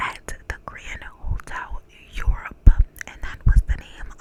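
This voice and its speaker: A woman whispering with an American accent over noticeable background noise. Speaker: ASMR creator. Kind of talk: whispered true crime narration. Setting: studio microphone. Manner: whispered, soft-spoken.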